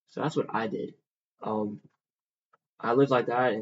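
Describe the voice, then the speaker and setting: A man with a Southern US accent, medium pitch, fairly even intonation and a moderate pace. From US South, Mississippi. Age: 20s. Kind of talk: testimony.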